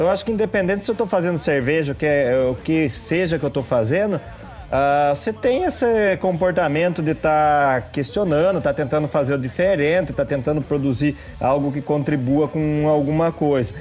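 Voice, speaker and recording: This man talks at a moderate pace with a São Paulo interior accent, his pitch fairly high and ordinary in its variation. His loudness stays very even while noticeable background noise runs behind him. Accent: Piracicaba (interior São Paulo). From interior of São Paulo state, Brazil (Piracicaba). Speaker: brewmaster and drummer. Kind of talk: podcast interview.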